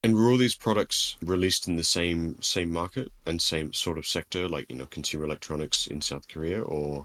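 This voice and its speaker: A man with an Australian accent and a very deep, low pitch speaks at a fairly quick pace, hardly pausing. His pitch varies in an ordinary way, and the sound is dry and close, very clean, with a silent background and no echo. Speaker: podcast co-host. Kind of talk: casual chat.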